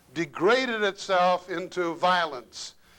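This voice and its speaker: In a raised, projected voice, a high-pitched man speaks at a fairly slow pace with a bright, sharp tone and ordinary pitch variation. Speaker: lecturer. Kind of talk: lecture.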